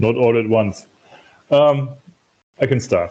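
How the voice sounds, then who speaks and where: A man with a German accent and fairly even intonation. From Germany. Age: 50s. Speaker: festival participant, engineer. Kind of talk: casual group video call introduction. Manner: halting. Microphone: echo.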